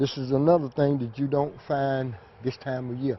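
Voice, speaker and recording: At a fairly slow pace, a man speaks in an ordinary speaking voice with a fairly high pitch. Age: 60s. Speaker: farmer and children's book author. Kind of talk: interview.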